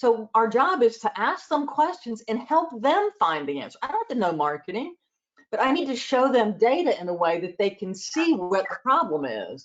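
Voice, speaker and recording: A woman talks with a Southern US accent at a moderate pace. Her fairly high voice moves through very wide pitch swings. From US South, Georgia and South Carolina. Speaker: accountant and advisory trainer. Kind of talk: interview.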